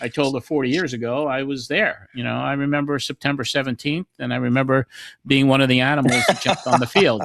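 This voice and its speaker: Heard with a dry, close sound and no echo, a man talks very fast at a medium pitch with fairly even intonation. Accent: American. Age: 60s. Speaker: podcast host. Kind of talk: casual interview chat.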